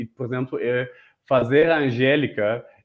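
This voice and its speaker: Fairly even intonation and a moderate pace come with a German accent. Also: man. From Germany (Berlin). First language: German (speaking Portuguese). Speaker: multimedia artist and guest. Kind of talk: interview chat. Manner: halting, many repetitions.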